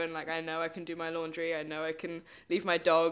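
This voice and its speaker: With a British accent, a woman talks fairly quickly in a medium-pitched, bright, sharp tone on a very clean recording with a silent background. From England, Bristol. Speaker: stuntwoman. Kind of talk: podcast interview. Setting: studio.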